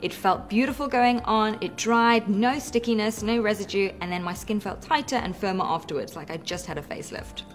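Over faint background music, a woman talks fairly quickly in a fairly high pitch with lively intonation and hardly any pauses. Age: 30s. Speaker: mother, product tester. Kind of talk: product testimonial. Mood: upbeat, enthusiastic. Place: home room.

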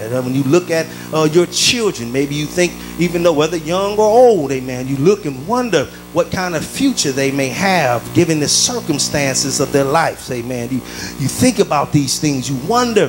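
With music in the background, a man speaks at a moderate pace with lively intonation. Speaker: preacher. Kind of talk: sermon. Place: church. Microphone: handheld.

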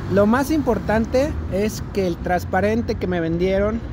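A woman speaks at a fairly slow pace. The sound is dry with no echo, and there is noticeable background noise. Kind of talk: casual vlog chat. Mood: annoyed, complaining about product. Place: street. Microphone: phone near.

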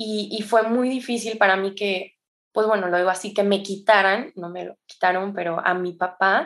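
At a moderate pace, a woman with a medium pitch and fairly even intonation speaks with big swings in loudness. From Mexico, San Luis Potosí. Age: 20s. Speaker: addiction counselor and yoga teacher. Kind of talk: testimony. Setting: remote recording.

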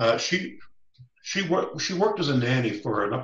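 In a Canadian accent, a man speaks against a quiet background with audible room echo. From Canada. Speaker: First Nations knowledge keeper; guest. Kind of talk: storytelling. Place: office. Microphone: video call.

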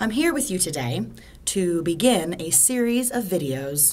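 At a moderate pace, a woman with an American accent speaks in very wide pitch swings. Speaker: English teacher. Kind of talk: language lesson to camera. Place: home room. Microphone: phone near.

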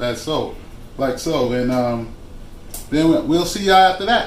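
The speech moves at a moderate pace with ordinary pitch variation, light background noise and audible room echo. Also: man. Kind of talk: casual cooking vlog chat. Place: kitchen. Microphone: phone near.

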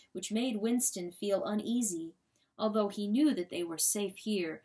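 Pitch shows ordinary variation in this unforced reading voice. Nothing much stirs in the quiet background.

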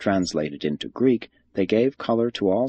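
With vocal fry and very wide pitch swings, a man speaks at a fairly low pitch and a fairly quick pace. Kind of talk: audiobook reading of a religious text. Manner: formal, measured; even, solemn narration.

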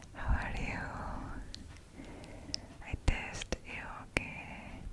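Soft-spoken and whispering, a woman speaks at a very slow pace. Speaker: ASMR creator. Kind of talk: soft ASMR personal attention talk. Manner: soft close-mic ASMR whisper. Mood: warm, smiling. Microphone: studio mic.

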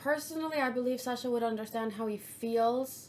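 The pace is moderate. Pitch variation is ordinary. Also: woman. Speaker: streamer. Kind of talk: casual reaction commentary. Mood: earnest, slightly emotional. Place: home room.

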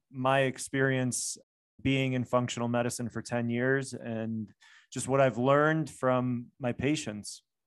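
A man talks at a very slow pace with an American accent and a monotone, flat intonation. The background is quiet. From US, Chicago. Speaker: functional medicine doctor. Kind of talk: interview. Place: home room. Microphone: studio mic.

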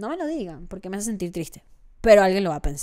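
A woman's voice moves through very wide pitch swings. The background is quiet. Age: 20s. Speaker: content creator. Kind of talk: casual monologue. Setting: home studio. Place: home room. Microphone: studio mic.

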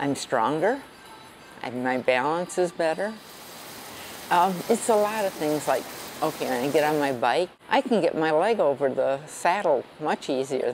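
With light background noise behind her, a woman speaks at a fairly slow pace with long, frequent pauses, her very deep, low voice carrying lively intonation. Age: 70s. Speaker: senior CrossFit athlete. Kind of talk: interview answer. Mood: cheerful, proud. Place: gym. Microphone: lapel.

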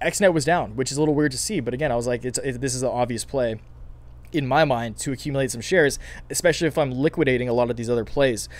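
Raspy and strained, the man speaks at a fast pace. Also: medium pitch for a man, ordinary pitch variation.

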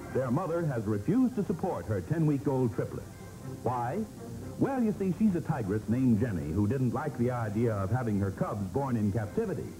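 With clear music in the background, a man speaks at a fairly quick pace, his pitch swinging very widely. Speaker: newsreel narrator. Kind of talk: light newsreel feature narration. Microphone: old recording.

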